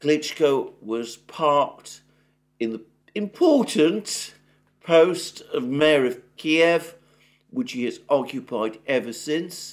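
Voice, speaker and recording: A very slow, fairly high-pitched man with a British accent, lively intonation and long, frequent pauses, against a quiet background. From Britain. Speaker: political commentator. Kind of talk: solo news analysis monologue. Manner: hesitant with frequent fillers; formal. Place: home room. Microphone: webcam.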